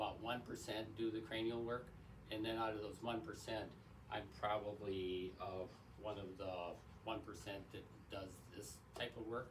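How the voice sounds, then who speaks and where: Over noticeable background noise and audible room echo, a man speaks at a moderate pace in a flat monotone. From Wisconsin. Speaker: chiropractor. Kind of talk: promotional talk to camera. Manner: halting, many fillers.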